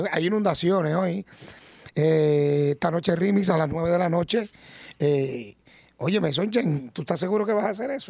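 A man with a Puerto Rican accent, high-pitched, animated and lively in intonation, at a moderate pace. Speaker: radio reporter. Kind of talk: live radio segment.

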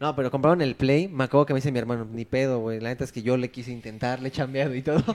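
Talking very quickly, this man has a mid-range voice. His intonation stays fairly level throughout. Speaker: podcast co-host. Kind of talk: casual chat.

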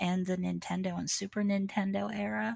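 Her voice at medium pitch and somewhat breathy, a woman speaks fairly slowly in a monotone, flat intonation, in a very clean recording with a silent background. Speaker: streamer. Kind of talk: casual interview chat.

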